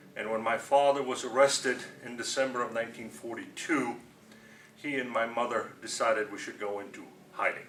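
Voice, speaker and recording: Amid noticeable background noise, a man with a medium pitch talks at a fairly quick pace, with fairly even intonation and big swings in loudness. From Romania. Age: 70s. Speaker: Holocaust survivor. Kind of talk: testimony.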